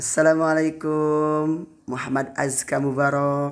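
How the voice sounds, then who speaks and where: A man's voice at a very slow pace. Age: old. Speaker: Islamic preacher and YouTuber; Islamic preacher, YouTuber. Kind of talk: casual vlog. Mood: warm, cheerful, prayerful.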